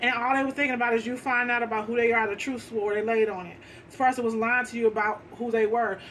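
This woman talks at a very fast pace in an animated tone, her fairly high voice swinging widely in loudness over light background noise. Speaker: tarot card reader. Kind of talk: tarot reading. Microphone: phone near.

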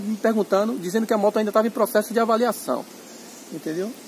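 Light background noise can be heard. A man talks through it. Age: 30s. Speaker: motorcycle owner reviewing his bike. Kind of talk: casual review chat. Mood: critical, frank. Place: open country. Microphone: phone near.

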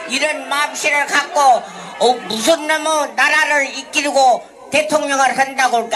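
With music in the background, a woman speaks in a raised, projected voice at a high pitch. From Korea. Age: 80s+. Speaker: forced labour victim and activist. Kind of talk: protest speech and interview answers. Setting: outdoors. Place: street. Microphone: handheld.

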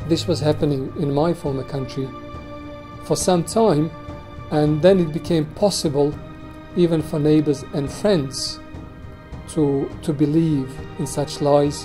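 Clear music plays in the background while a man with a fairly high pitch speaks at a fairly slow pace, with long, frequent pauses. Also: fairly even intonation. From Bosnia. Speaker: war and concentration camp survivor. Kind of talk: interview answer. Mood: serious, reflective. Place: office.

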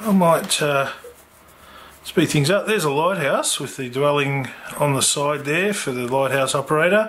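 A man's fairly high, fairly bright voice with lively intonation, at a fairly slow pace with long, frequent pauses, in audible room echo

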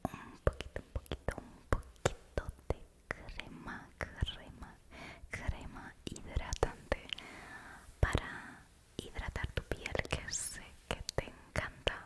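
A soft-spoken woman whispers very slowly with long, frequent pauses over loud background noise. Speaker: ASMR creator. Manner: soft close-mic ASMR whisper. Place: home room. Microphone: studio mic.

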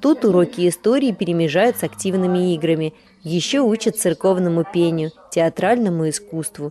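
Through noticeable background noise, a woman with a fairly low pitch talks at a moderate pace with lively intonation. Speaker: TV host narrator. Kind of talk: scripted narration.

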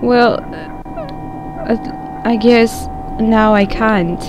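A woman speaks with ordinary pitch variation while music plays in the background. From Russia. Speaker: gaming video creator. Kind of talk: let's play commentary.

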